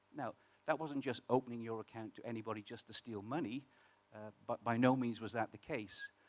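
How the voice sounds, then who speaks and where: A man with a British accent, recorded with a dry, close sound and no echo. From UK. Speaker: startup co-founder. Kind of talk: conference talk. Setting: stage with audience. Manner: halting, many fillers.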